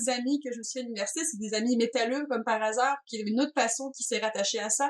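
A woman with a strong Breton accent, high in pitch, with ordinary pitch variation. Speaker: video game designer. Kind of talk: interview.

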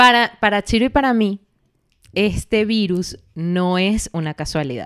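Lively intonation carries a plain, everyday voice at a fairly slow pace. The sound is dry and close with no echo. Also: woman, medium pitch for a woman. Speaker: podcast co-host. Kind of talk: casual chat.

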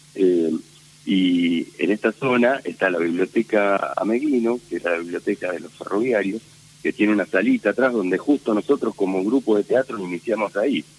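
The dry, close sound with no echo carries a man's fairly low voice at a moderate pace, with ordinary pitch variation and noticeable background noise. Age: 50s. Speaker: theatre director. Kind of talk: interview. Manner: halting, many fillers.

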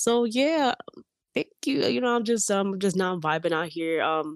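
The speech is very slow, with lively intonation. The sound is dry and close, with no echo. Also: woman. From US, Dominican and Puerto Rican family. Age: 20s. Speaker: filmmaker and content creator. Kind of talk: casual interview. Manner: halting, many fillers and restarts.

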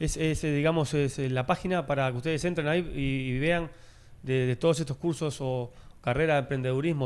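A man talks at a fairly quick pace in a fairly high, fairly even voice, a normal speaking voice. The recording is very clean, with a silent background. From Uruguay. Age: 40s. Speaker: former footballer and sports commentator. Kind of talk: casual interview chat.

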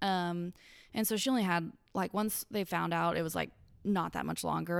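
Recorded very cleanly against silence, a woman with a Kentucky accent speaks at a fairly low pitch with ordinary pitch variation. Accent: Kentucky Southern US. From Western Kentucky, Paducah. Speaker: podcast guest, former accountant. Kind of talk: casual chat.

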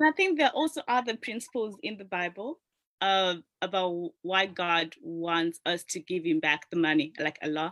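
An ordinary speaking voice is heard at a moderate pace. The intonation is lively. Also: woman, medium pitch for a woman. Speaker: panelist.

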